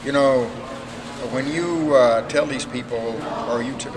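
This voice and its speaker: A man speaks with ordinary pitch variation. Noticeable background noise and audible room echo fill the recording. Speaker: hotel public relations representative. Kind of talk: storytelling interview. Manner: hesitant, many filler words.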